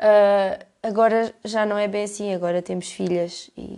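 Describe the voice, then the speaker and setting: A woman speaks in a European Portuguese accent with a dark, mellow tone and monotone, flat intonation. The background is quiet. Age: 20s. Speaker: podcaster. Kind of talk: casual monologue. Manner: halting.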